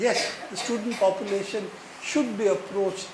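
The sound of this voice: A man's high-pitched voice with audible room echo. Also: slightly mellow tone.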